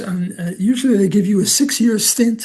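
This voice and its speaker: This man speaks with a New York accent. His pace is moderate and his pitch variation ordinary. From US Northeast, Brooklyn, New York. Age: 80s+. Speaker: economics professor. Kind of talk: interview. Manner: halting, many fillers.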